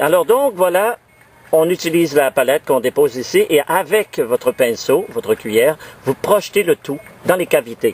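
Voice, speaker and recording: Against noticeable background noise, a man's high voice swings very widely in pitch, with a dry, close sound and no echo. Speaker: amateur DIY video maker. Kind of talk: tutorial. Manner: halting, many fillers and repeats.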